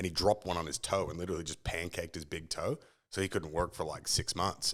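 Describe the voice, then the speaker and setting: The speaker talks at a very fast pace with an American accent. The recording is very clean, with a silent background. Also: man. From mixed Australia, Bermuda and US upbringing. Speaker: business owner and public speaker. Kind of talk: casual interview chat.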